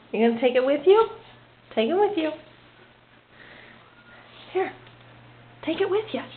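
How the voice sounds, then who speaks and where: A woman with extremely high pitch and very wide pitch swings talks at a moderate pace, leaving long, frequent pauses, over noticeable background noise. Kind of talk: casual talk to pet while filming.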